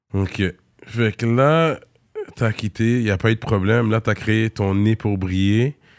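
Very slowly, a man with a fairly low pitch speaks at very even loudness and fairly even intonation, the recording very clean with a silent background and a dry, close sound with no echo. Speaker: podcast host. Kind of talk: casual chat.

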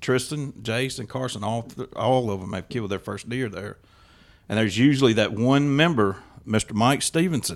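A man with a Mississippi accent speaks at a medium pitch with ordinary pitch variation. The recording is very clean, with a silent background. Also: moderate pace. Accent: Southern US (Mississippi). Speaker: hunter and hunting club member. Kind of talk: casual chat.

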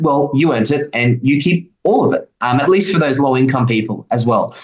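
A man with an Australian accent, at a fairly quick pace. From Queensland, Australia. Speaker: economic policy researcher. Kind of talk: radio interview.

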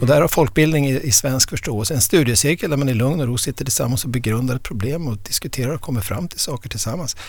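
The man's voice is somewhat breathy and medium in pitch. He speaks at a very fast pace with ordinary pitch variation. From inland Västerbotten, northern Sweden. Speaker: historian of ideas and professor. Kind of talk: podcast interview. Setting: studio. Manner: halting, frequent repetitions.

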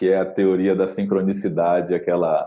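His tone comes across dark and mellow. The man talks at a moderate pace. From Bahia, Brazil (rural area near Salvador). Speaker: brand designer. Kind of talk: interview.

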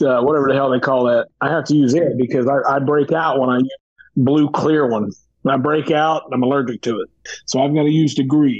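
This man talks at a fairly quick pace, his pitch fairly high and his intonation fairly even. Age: 40s. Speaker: professional wrestler. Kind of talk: casual interview chat. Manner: halting, repeats words.

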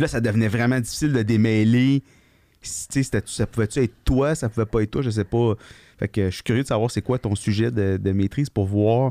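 In a very clean recording with a silent background, a man speaks at medium pitch with a dark, mellow tone. The sound is dry and close with no echo, and his intonation is fairly even. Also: fairly quick pace. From Quebec, Gatineau. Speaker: podcast co-host, veterinarian. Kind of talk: casual chat. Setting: studio.

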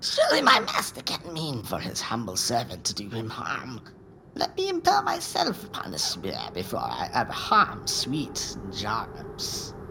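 Put-on character voice, moderate pace, clear background noise. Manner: sneering, snappish, cackling.

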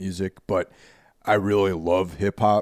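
A man with an American accent and a plain, everyday voice talks at a moderate pace in a fairly low pitch. The recording is very clean, with a silent background and a dry, close sound with no echo. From New York suburbs, US. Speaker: podcast host. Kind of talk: casual chat.

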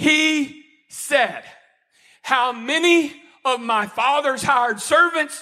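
A man speaks in a raised, projected voice at an extremely high pitch, his tone animated, bright and sharp, with lively intonation. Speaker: preacher. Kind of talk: sermon.

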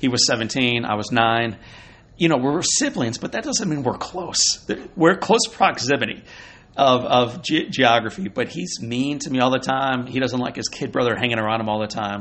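In an ordinary speaking voice with an American accent, a man speaks at a medium pitch with ordinary pitch variation. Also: moderate pace. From Missouri, US Midwest. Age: 40s. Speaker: motivational speaker. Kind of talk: interview. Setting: at a conference.

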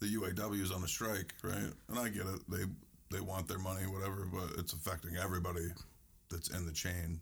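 With an American accent, a man speaks fairly quickly in a very deep, low, somewhat breathy voice, his intonation monotone and flat and his loudness very even. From US South, northern Louisiana. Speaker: podcast guest. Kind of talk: casual chat.

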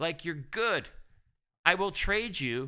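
In a very clean recording with a silent background, a man speaks fairly slowly in an animated, bright, sharp tone, his pitch swinging very widely. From Ottawa, Canada. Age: 50s. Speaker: former sports reporter. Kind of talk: casual chat.

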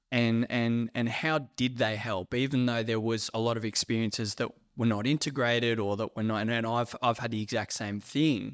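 On a very clean recording with a silent background, a man with a plain, everyday voice speaks at a moderate pace and medium pitch, his intonation fairly even. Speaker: podcast host. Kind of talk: casual chat.

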